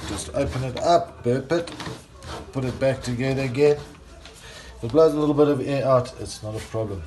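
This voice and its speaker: Noticeable background noise runs under a man's voice. He speaks at medium pitch and a moderate pace, with ordinary pitch variation. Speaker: home brewer. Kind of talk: tutorial.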